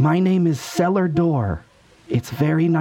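A man's raspy, high-pitched put-on character voice at a fairly slow pace.

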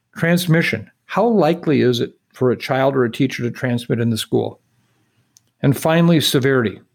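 This is an ordinary speaking voice at a moderate pace. Pitch variation is ordinary. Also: man, medium pitch for a man. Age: 60s. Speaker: infectious disease expert. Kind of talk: interview.

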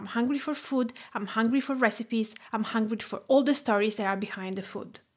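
A woman speaks at a fairly quick pace with an Italian accent. Her fairly high pitch carries fairly even intonation. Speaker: food writer and cooking teacher. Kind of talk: scripted presentation.

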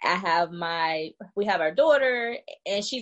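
Her voice a normal speaking voice, a woman speaks at a moderate pace with ordinary pitch variation. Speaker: business owner, soldier. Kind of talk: casual interview.

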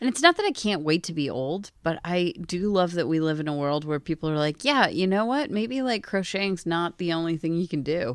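The speaker has an American accent and lively intonation, moving at a fairly quick pace with hardly any pauses. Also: woman, fairly low pitch for a woman. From Pennsylvania, US. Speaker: podcast co-host. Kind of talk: casual chat. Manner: animated.

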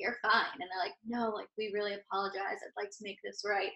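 Her tone is bright and sharp. The woman's pitch is fairly high. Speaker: podcast co-host. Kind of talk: casual chat. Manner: excitable.

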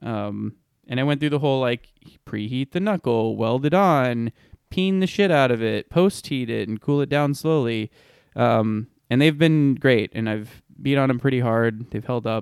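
An unremarkable speaking voice belonging to a man comes through dry and close with no echo on a very clean recording with a silent background, at a medium pitch, moderate pace and ordinary pitch variation. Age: 30s. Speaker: off-road podcast co-host. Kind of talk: casual chat.

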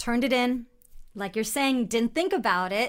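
A woman at a moderate pace with ordinary pitch variation, on a very clean recording against a silent background. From California. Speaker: actress. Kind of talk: interview. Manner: animated.

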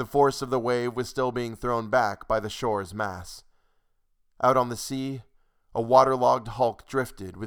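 In a normal speaking voice with an American accent, a man of medium pitch talks at a moderate pace with fairly even intonation in a very clean recording with a silent background. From United States. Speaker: podcast host and story narrator. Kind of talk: reading aloud.

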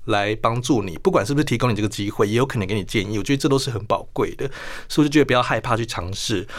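This man's voice rests at a medium pitch. He rattles through his words at a very fast pace. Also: ordinary pitch variation. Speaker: international news journalist. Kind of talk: radio interview.

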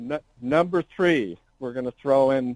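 A man talks at a medium pitch. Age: 60s. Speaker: car show owner. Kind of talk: casual interview.

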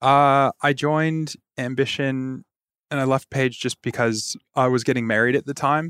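In a very clean recording with a silent background and a dry, close sound with no echo, a man with an American accent speaks at a medium pitch in a flat monotone. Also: moderate pace. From Michigan, near Detroit. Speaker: tech recruitment director. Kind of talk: interview.

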